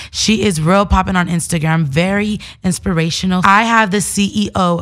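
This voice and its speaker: A woman speaks at a moderate pace in a fairly low voice, with fairly even intonation. It is an ordinary speaking voice. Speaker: podcast host. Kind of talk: interview. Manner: casual slangy.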